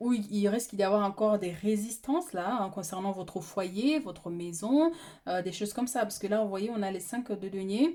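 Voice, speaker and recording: A dark, mellow tone with lively intonation. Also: woman, medium pitch for a woman. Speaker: tarot reader. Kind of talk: tarot reading. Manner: fast; halting.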